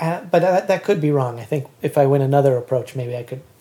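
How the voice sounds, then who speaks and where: A dark, mellow tone defines this voice. It also carries a somewhat breathy quality. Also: man. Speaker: composer and author. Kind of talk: casual chat. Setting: home basement.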